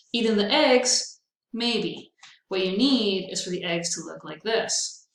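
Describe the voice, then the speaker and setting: A fairly high-pitched woman's voice, an unremarkable speaking voice, fairly slow, with ordinary pitch variation. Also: big swings in loudness. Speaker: veterinary technology instructor. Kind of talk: recorded lecture. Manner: casual, upbeat.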